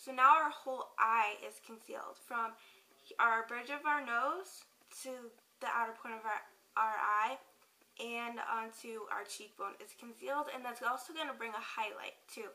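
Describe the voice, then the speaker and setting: A woman speaks in a plain, everyday voice with a fairly high pitch and ordinary pitch variation. Her pace is moderate, with big swings in loudness. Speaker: beauty vlogger. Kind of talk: tutorial. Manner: casual, filler-heavy.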